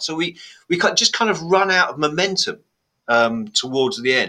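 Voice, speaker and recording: A man's bright, sharp voice with lively intonation. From Blackburn, northern England. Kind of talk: casual chat, podcast.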